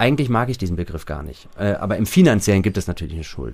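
With vocal fry, a man speaks at a fairly low pitch that swings very widely. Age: 30s. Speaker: recovering gambling addict. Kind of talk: casual interview.

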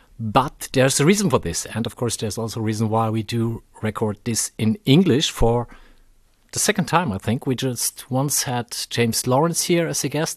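In a German accent, a man at medium pitch speaks at a moderate pace with lively intonation, in a dry, close sound with no echo and a quiet background. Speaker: podcast host. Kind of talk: casual chat. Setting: recorded in a fan shop.

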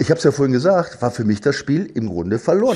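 A dark, mellow, somewhat breathy voice races along at a very fast pace with very wide pitch swings. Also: man. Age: 60s. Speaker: former footballer and football pundit. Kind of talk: casual chat. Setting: at home, remote. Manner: halting.

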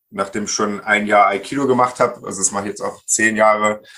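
A man speaks with fairly low pitch and a bright, sharp tone. His intonation stays fairly even. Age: 40s. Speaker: IT consultant and barefoot coach. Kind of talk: interview.

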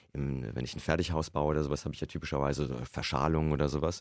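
The recording is very clean, with a silent background. A man speaks in a very deep, low pitch with vocal fry. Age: 50s. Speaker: computer science professor. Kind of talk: interview. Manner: conversational, frequent fillers.

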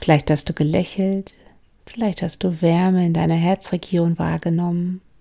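A woman's fairly low-pitched voice has a dark, mellow tone and a gentle, calm tone, delivered in a monotone with flat intonation. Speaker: mindfulness coach and podcast host. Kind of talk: guided meditation. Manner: slow, calm, soothing; gentle, with long pauses.

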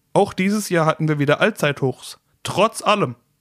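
The speech moves at a moderate pace with ordinary pitch variation. The sound is dry and close with no echo, and the recording is very clean with a silent background. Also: man. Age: 30s. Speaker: finance podcast host. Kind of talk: solo podcast monologue.

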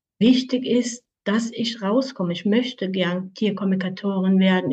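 A woman's somewhat breathy voice moves at a very slow pace with ordinary pitch variation. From Switzerland, canton Aargau. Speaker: animal communicator. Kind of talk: interview.

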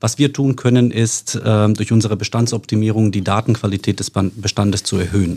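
Fairly low in pitch, this man talks at a fairly quick pace with fairly even intonation and a dark, mellow tone. The recording is very clean, with a silent background. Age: 40s. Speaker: insurance sales executive. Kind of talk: casual interview.

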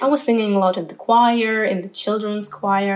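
A woman with a Ukrainian accent, fairly high in pitch and at a moderate pace, over noticeable background noise. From Ukraine. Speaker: opera singer. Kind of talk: interview.

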